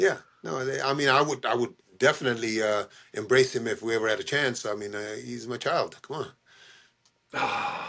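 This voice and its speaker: A man's bright, sharp voice at medium pitch, with ordinary pitch variation, vocal fry, and long, frequent pauses. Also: moderate pace. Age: 70s. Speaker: boxing trainer. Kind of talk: interview.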